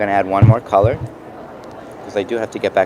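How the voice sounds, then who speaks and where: A man with a New York accent speaks at a fairly low pitch. His intonation stays fairly even against noticeable background noise. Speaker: mixed media artist. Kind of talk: product demo. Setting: trade show booth. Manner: casual, halting with fillers.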